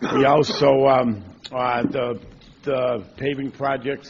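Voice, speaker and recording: Noticeable background noise surrounds the recording. A man talks at medium pitch with fairly even intonation. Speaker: district staff manager giving report. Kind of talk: public board meeting report. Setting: board meeting room. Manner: halting, many fillers; loud.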